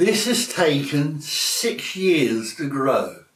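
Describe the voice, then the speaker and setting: With audible room echo, a man's fairly high voice moves through very wide pitch swings. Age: 70s. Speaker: Father Christmas performer. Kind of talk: casual interview.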